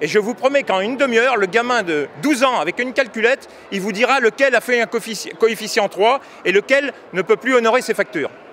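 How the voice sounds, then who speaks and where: A man with an extremely high-pitched voice talks at a fairly quick pace with ordinary pitch variation over noticeable background noise. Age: 60s. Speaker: farmer and union member. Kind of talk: street interview. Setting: agricultural fair. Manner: halting, with repetitions.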